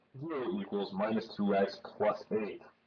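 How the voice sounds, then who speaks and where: In a normal speaking voice, a man talks at a medium pitch with ordinary pitch variation. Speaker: math tutor. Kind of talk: casual instructional explanation.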